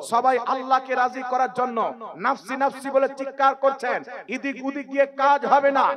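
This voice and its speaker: A man speaks with an extremely high pitch and a passionate tone, yet his intonation stays monotone and flat. Noticeable background noise runs under the clip. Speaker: Islamic scholar giving a sermon. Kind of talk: Islamic sermon (waz), preaching to an audience. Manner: passionate, emphatic preaching.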